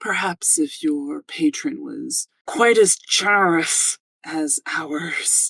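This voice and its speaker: Very slow and fairly high-pitched, this is a put-on character voice. Its pitch swings very widely. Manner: condescending, snide.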